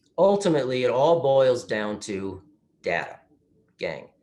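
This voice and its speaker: This man has a medium pitch and a lively intonation. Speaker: retirement plan specialist presenting to advisors. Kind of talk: webinar presentation. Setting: remote webinar. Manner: fast.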